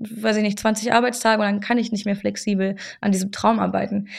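Her fairly high voice moves at a fairly quick pace as the woman talks. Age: 20s. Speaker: actress and podcast host. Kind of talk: casual chat. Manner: animated.

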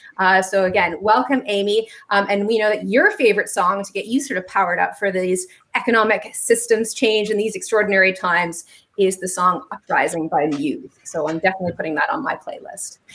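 A woman uses a plain, everyday voice at a medium pitch, with ordinary pitch variation and a fairly quick pace. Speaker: business activist, co-host. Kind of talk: panel moderation.

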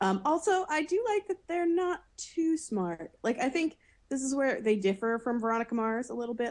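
With lively intonation and a moderate pace, a woman talks in a plain, everyday voice. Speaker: podcaster. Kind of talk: casual chat.

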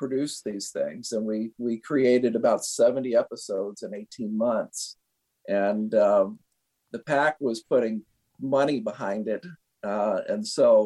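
A man with an American accent at a fairly slow pace, the sound dry and close with no echo. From US Midwest. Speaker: animator. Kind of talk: interview. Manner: halting, many fillers.

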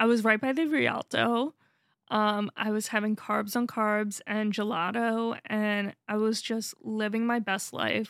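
A woman speaks in an ordinary speaking voice, fairly high in pitch, with an American accent and fairly even intonation at a fairly slow pace. The recording is very clean with a silent background and a dry, close sound with no echo. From US East Coast. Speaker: podcast co-host. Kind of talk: casual chat. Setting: studio.

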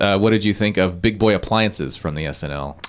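A normal speaking voice from a man, fairly low-pitched with ordinary variation, at a fairly quick pace. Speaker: podcast co-host. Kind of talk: casual chat.

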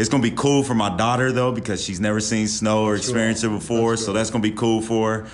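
Over audible room echo, a man rattles off words very fast in a medium-pitched, monotone, flat delivery. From West Virginia. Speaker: college basketball assistant coach. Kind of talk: podcast interview.

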